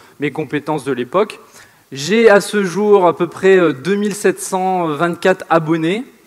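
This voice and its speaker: Here a man talks in a northern French accent. His pitch is high. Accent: northern French, sing-song. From northern France. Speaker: online entrepreneur. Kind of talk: seminar presentation.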